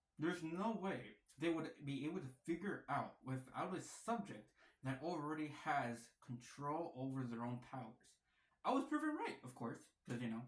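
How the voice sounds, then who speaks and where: With a playful tone, a man talks at a moderate pace in a fairly high, somewhat breathy voice with ordinary pitch variation. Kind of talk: casual talk to camera. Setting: wearing a mask. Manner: playful, rambling.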